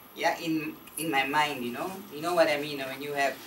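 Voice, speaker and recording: A woman talks at a moderate pace. Noticeable background noise and audible room echo surround her. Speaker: former teacher, spiritual retreat participant. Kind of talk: testimony. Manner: halting.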